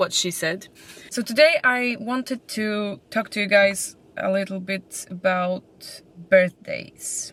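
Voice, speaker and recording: A woman speaks with a Polish accent at a medium pitch. Her pace is very slow and her pitch variation ordinary. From Poland. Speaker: vlogger. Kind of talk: casual chat. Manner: halting.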